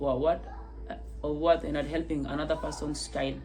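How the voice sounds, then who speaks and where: A woman speaks with a non-native accent. Music plays in the background, and there is audible room echo. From South Sudan. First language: not English. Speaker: testimony vlogger. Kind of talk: personal testimony. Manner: halting, many repetitions.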